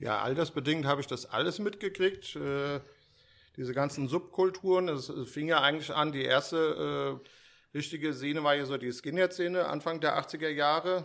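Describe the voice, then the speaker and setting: Moderate pace and ordinary pitch variation from an ordinary speaking voice, very clean recording, silent background. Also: man, fairly high pitch for a man. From Germany, Frankfurt area (Steinbach). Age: 50s. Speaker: sneaker store owner. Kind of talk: casual interview chat. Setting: hotel conference room.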